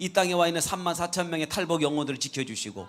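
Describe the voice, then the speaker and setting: Here a man talks at a high pitch with ordinary pitch variation. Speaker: guest pastor. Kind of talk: sermon. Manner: fast.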